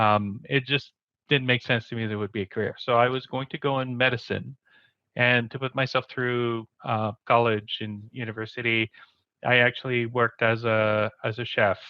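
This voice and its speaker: A man with a Quebec accent talks at a moderate pace, medium in pitch and monotone, with flat intonation. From Quebec City, Canada. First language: French. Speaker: community program manager, show co-host. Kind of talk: casual interview.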